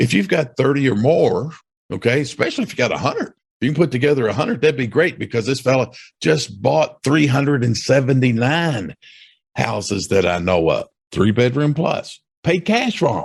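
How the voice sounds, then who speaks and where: Lively intonation, an animated tone, somewhat breathy delivery and a moderate pace. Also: man, medium pitch for a man. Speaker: real estate investor and podcast host. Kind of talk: casual podcast monologue. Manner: animated, conversational with frequent okays.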